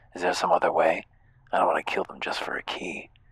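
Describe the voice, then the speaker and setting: In a raspy, put-on character voice, a man rattles along at a very fast pace. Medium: game stream. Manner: questioning, bewildered.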